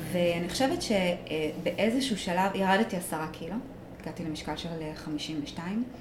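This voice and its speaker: Recorded with noticeable background noise and audible room echo, a woman with fairly low pitch and ordinary pitch variation speaks at a fairly slow pace. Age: 30s. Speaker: emotional therapist and reiki teacher. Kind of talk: personal testimony in interview. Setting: studio. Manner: hesitant, many fillers.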